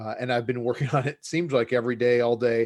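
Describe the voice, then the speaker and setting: Speaking at a fairly quick pace, a man with an American accent holds a medium pitch. The recording is very clean, with a silent background. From United States. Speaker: game designer and professor. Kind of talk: interview. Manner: hesitant, many fillers and repeats.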